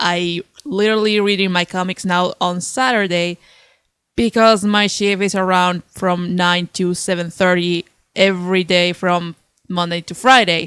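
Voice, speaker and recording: A woman speaks in a Spanish accent at a fairly slow pace, her intonation fairly even. The recording is very clean with a silent background and a dry, close sound with no echo. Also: medium pitch for a woman. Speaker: comic book reviewer. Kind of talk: unscripted video review. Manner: halting, tongue-tied.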